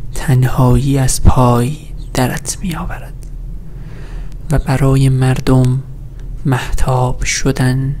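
Soft-spoken and monotone, with flat intonation, a man talks over light background noise. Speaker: ASMR creator. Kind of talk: sleep story reading of poetic prose. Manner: soft-spoken, slow. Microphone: studio mic.

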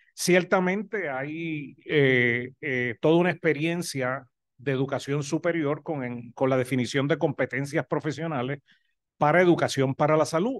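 Here a man speaks in a Puerto Rican accent at a fairly slow pace. His pitch is fairly high with ordinary variation, and the background is quiet. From Puerto Rico. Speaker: professor of health education. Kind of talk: academic presentation. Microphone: video call.

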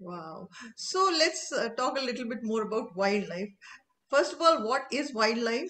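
Her pitch is high for a woman, with very wide swings, and this woman speaks at a fairly slow pace. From India. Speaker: interviewer. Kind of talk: interview. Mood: warm, enthusiastic. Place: home room. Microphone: video call.

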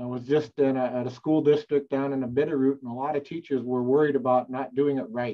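Against a quiet background, a man at medium pitch talks at a very fast pace in a monotone, flat intonation with hardly any pauses. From North Dakota. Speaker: Indian education specialist; webinar presenter, educator. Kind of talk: casual discussion. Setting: video call. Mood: earnest, reflective. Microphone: webcam.

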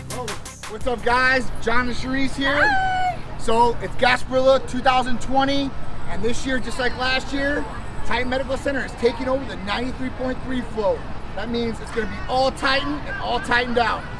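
A man's voice with ordinary pitch variation, dry sound with no echo and clear music in the background. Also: moderate pace. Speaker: clinic host. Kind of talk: casual promotional vlog chat. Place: street. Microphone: camera far.

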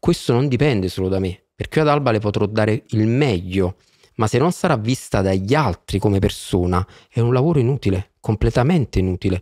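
A man with a fairly low pitch speaks at a fairly quick pace with lively intonation and very even loudness, the sound dry with no echo over a quiet background. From Naples, southern Italy; southern Italy. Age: 40s. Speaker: podcast guest. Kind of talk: interview. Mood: earnest, thoughtful. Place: studio. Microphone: studio mic.

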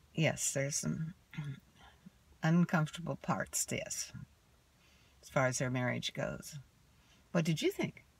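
A woman's low, slow voice with vocal fry, a slightly husky edge, ordinary pitch variation and long, frequent pauses

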